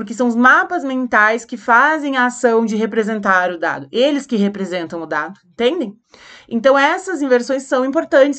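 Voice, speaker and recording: A woman speaks in a high voice with lively intonation. The background is quiet. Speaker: teacher. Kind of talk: lecture.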